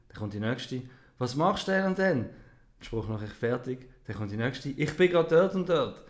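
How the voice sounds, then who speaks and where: A man with a Swiss accent, lively intonation and a moderate pace. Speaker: podcast co-host. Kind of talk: casual chat. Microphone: new microphone.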